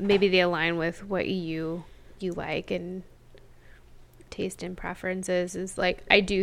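Monotone, flat intonation at a fairly slow pace, with an American accent. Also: woman. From small town, US. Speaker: podcast co-host. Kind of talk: casual chat.

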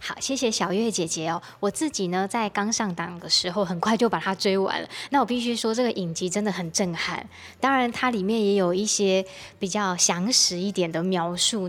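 Speaking with a plain, everyday voice, a woman keeps a medium pitch, ordinary pitch variation and a moderate tempo. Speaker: radio host. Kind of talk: radio talk show interview.

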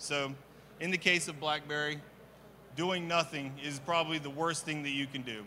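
Amid audible room echo, a man with a fairly high pitch and a bright, sharp tone talks in fairly even intonation, leaving long, frequent pauses. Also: moderate pace. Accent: American. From US Midwest (Kansas City). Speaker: trade show presenter. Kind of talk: conference presentation. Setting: stage with audience. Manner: hesitant, many fillers.

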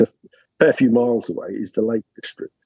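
The voice carries a dark, mellow tone and a southern English accent. It moves at a moderate pace, dry and close with no echo. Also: man. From southern England. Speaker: academic researcher. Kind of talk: interview.

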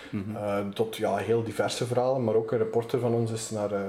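A man's monotone, flat delivery comes through audible room echo and noticeable background noise. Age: 20s. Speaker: magazine editor-in-chief. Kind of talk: interview.

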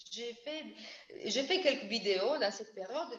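A woman speaks with an Italian accent. Her pace is moderate. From Italy. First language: Italian (speaking French). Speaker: bassist and double bassist. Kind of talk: casual interview. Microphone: audio cutting out.

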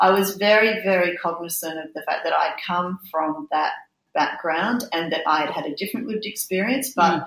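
A woman speaks with an Australian accent at a medium pitch. She keeps a moderate pace with ordinary pitch variation. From Australia, Brisbane (Queensland). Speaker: youth organisation CEO. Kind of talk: casual chat.

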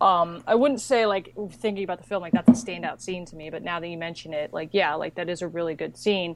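A woman's fairly low voice at a very fast pace, with ordinary pitch variation. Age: 20s. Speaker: animation podcast guest. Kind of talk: casual chat.

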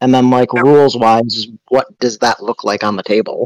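A man's unremarkable speaking voice at medium pitch, fairly quick in pace, dry and close with no echo. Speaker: podcast co-host. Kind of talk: casual chat.

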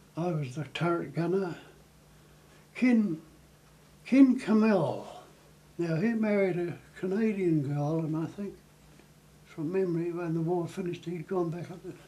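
Room echo is audible as a man talks at a moderate pace with a high pitch, ordinary pitch variation and a dark, mellow tone. He leaves long, frequent pauses. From New Zealand. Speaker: war veteran. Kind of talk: interview reminiscence.

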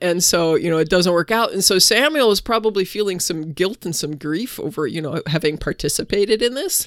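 A woman with an unremarkable speaking voice at medium pitch talks at a fairly quick pace with lively intonation and hardly any pauses. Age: 50s. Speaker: podcast co-host, preaching resource. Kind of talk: casual chat about scripture and sermon ideas.

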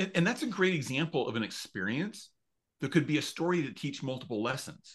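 A man with an American accent talks at a fairly quick pace in a fairly high pitch, his voice somewhat breathy. His pitch swings very widely, and the background is quiet. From US Mountain West. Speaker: author and storytelling coach. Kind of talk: casual interview chat. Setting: remote call.

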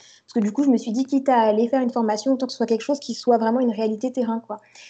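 Against a quiet background, a woman speaks at a fairly high pitch in a dark, mellow tone. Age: 20s. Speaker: coding student, career changer. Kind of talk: interview. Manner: halting.

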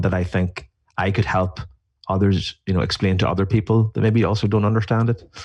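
Speaking at a fairly quick pace with an Irish accent, a man uses a fairly low pitch, fairly even intonation, a somewhat breathy sound and very even loudness over a quiet background. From Ireland. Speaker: beer writer. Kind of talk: casual interview.

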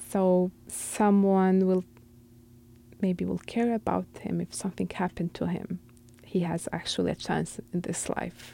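The speaker has an Arabic accent and goes at a fairly slow pace. The recording is very clean, with a silent background. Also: woman. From Syria. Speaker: refugee. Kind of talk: interview.

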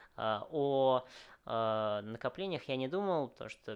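A man's intonation rises and falls in a lively way, with little sound behind him. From Moscow, Russia. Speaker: restaurant chain founder. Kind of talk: interview. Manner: hesitant, many fillers.

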